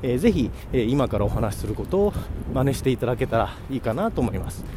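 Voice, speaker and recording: Noticeable background noise runs under this recording. A man at medium pitch makes very wide pitch swings. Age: 40s. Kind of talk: casual solo talk. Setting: walking outdoors on the way to work, hands-free recording. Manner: halting with many fillers.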